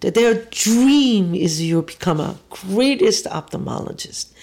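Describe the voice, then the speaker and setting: A woman with a Korean accent talks fairly slowly, her intonation lively. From South Korea. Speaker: restaurateur and kimchi maker. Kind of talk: personal interview, telling life story.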